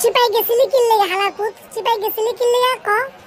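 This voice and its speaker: A woman does a loud, squeaky cartoonish character voice at an extremely high pitch and moderate pace, with clear background noise. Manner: loud, rough, scolding.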